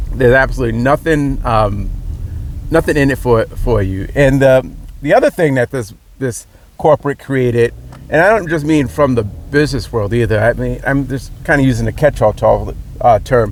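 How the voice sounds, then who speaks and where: A man's medium-pitched voice with a Rhode Island accent over noticeable background noise. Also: ordinary pitch variation, moderate pace. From Rhode Island, US. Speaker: political commentator. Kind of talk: opinion monologue. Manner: halting, many repetitions and fillers.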